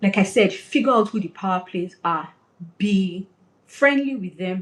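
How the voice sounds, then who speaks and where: Somewhat breathy, a woman of medium pitch speaks with lively intonation. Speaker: career coach. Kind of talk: webinar talk. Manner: fast.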